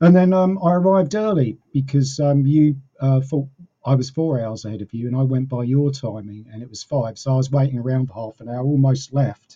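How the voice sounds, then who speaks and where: A man with a medium pitch speaks at a fairly quick pace, somewhat breathy, with ordinary pitch variation and big swings in loudness. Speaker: podcast guest. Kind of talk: casual chat. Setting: video call. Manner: halting, stumbling over words.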